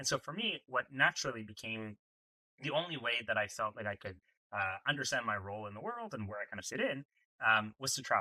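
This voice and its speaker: Very fast and in a Canadian accent, a man speaks with a bright, sharp tone at a fairly low pitch. His pitch variation is ordinary, and the sound is dry and close with no echo. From Canada, Toronto (English Canada). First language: French. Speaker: entrepreneur, startup founder. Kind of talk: podcast interview. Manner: conversational, some filler words and repeats.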